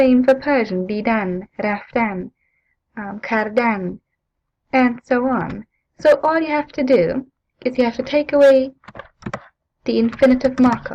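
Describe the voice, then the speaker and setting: A non-native accent at a fairly slow pace, with ordinary pitch variation and long, frequent pauses. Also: woman, high pitch for a woman. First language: not English. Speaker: language teacher. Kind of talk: tutorial. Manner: hesitant, with fillers.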